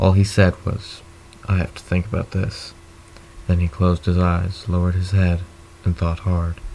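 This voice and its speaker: A man with a very deep, low pitch, monotone, flat intonation, a moderate pace and long, frequent pauses, amid noticeable background noise. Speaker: audiobook reader. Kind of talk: read story.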